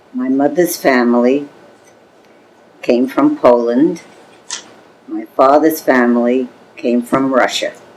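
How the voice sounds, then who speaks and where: A woman talks at a very slow pace in a very deep, low voice. Long, frequent pauses break her speech amid noticeable background noise. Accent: American. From New York City, the Bronx. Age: 80s+. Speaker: oral history interviewee. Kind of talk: oral history interview. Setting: home apartment. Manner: halting.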